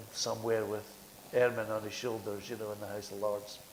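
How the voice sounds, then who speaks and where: Over noticeable background noise, a man speaks with a Scottish accent. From Scotland. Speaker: theatre director and producer. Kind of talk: panel discussion.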